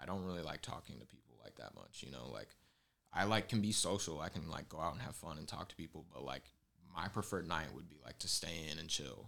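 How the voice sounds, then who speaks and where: Delivered at a very fast pace, this bright, sharp voice has lively intonation, vocal fry and big swings in loudness. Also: man, very deep, low pitch for a man. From Southern California. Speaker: clothing designer. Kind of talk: casual chat. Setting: home studio in a living room.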